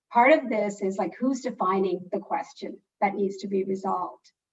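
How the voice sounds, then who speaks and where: A plain, everyday voice, a woman's at medium pitch, with ordinary pitch variation and a moderate pace. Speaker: philanthropy funder. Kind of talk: panel discussion.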